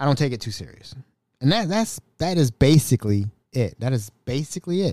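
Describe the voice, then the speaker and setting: A man talks at a fairly quick pace with lively intonation. His tone is dark and mellow, and the sound is dry and close with no echo. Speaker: podcast host. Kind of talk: casual solo podcast monologue. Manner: rambling, hesitant with fillers.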